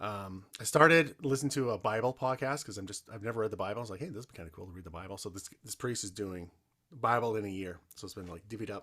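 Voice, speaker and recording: A man with a Canadian accent and fairly low pitch, very fast with big swings in loudness, on a very clean recording with a silent background. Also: ordinary pitch variation. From rural Canada. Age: 40s. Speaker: podcast host. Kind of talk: casual interview chat.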